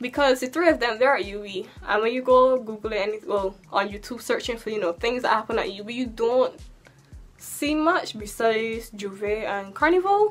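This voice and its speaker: Faint music plays in the background as a woman talks at a fairly quick pace in a Barbadian accent. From Barbados. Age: 20s. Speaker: YouTuber. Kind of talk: casual talk to camera. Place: home room.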